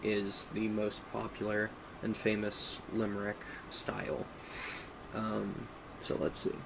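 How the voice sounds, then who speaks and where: A man with an Appalachian accent speaks at a fairly low pitch. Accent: general American, native Appalachian English. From Appalachia, US. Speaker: streamer. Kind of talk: casual live stream chat with reading aloud. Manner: halting, many fillers.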